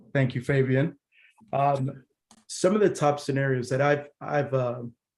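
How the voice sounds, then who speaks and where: A man speaks at a fairly slow pace in a somewhat breathy voice. His loudness stays very even, and his intonation is fairly even. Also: fairly high pitch for a man. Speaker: product engineer presenting a tech session. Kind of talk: technical presentation. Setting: virtual user group meeting.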